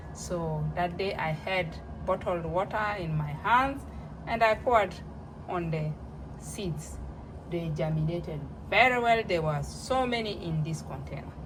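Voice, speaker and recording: Speaking fairly slowly with a non-native accent, a woman leaves long, frequent pauses amid noticeable background noise and audible room echo. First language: not English. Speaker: home cooking vlogger. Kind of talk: casual tutorial. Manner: halting.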